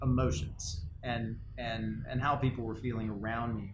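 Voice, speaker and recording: A man's voice with vocal fry, in audible room echo. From Latin America, Spanish-speaking country. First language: Spanish. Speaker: company co-founder, podcast co-host. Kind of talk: casual chat. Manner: halting, many fillers and repeats.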